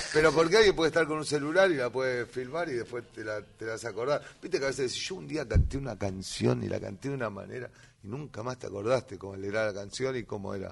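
Talking very fast with hardly any pauses, a man with a medium pitch uses lively intonation and vocal fry, his loudness swinging widely. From Greater Buenos Aires (south, conurbano). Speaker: tango musician and festival organizer. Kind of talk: casual chat. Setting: studio.

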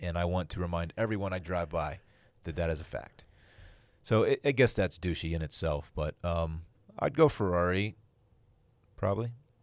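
This man's pitch is very deep and low, with ordinary pitch variation and a moderate pace. He leaves long, frequent pauses, and the recording is very clean with a silent background. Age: 30s. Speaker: podcast host. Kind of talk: casual chat. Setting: studio.

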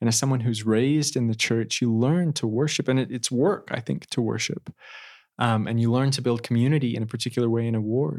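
This man has a plain, everyday voice with an American accent and medium pitch with ordinary variation. He talks at a fairly quick pace on a very clean recording with a silent background. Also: very even loudness. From Idaho, Twin Falls. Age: 20s. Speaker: law graduate and returned missionary. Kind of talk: interview testimony.

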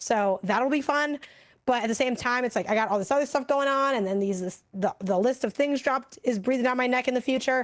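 Loud and fairly quick, a woman speaks at a high pitch with ordinary pitch variation. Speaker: video game podcast co-host. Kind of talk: casual chat. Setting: livestream with live chat. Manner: fast talker.

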